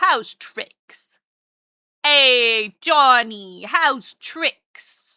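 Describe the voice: A woman puts on a character voice, pitched high, with a New York accent as part of the act, on a very clean recording with a silent background. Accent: old New Yorker.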